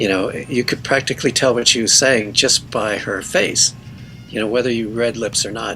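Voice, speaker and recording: The speech moves at a moderate pace with fairly even intonation over noticeable background noise. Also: man. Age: 60s. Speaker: musician. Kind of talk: interview. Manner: halting.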